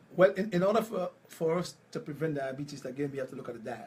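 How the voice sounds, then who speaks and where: Noticeable background noise behind a man's lively intonation and fairly high pitch. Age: 60s. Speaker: health practitioner. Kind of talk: interview.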